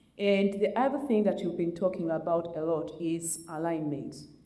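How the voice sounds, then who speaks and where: Her fairly low-pitched voice shows ordinary pitch variation, and the woman's speech has audible room echo. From Uganda. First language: Luganda. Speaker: community panelist. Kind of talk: panel discussion. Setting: community event with audience.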